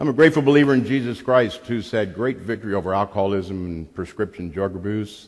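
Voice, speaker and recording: In a normal speaking voice, a man with an American accent talks fairly quickly at a fairly low pitch, with ordinary pitch variation. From Arizona and St. Louis, Missouri. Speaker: recovery group member sharing testimony. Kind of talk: testimony.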